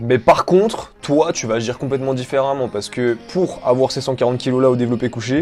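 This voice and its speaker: Very fast male speech at medium pitch with ordinary pitch variation over music in the background. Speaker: fitness YouTuber. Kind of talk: vlog monologue.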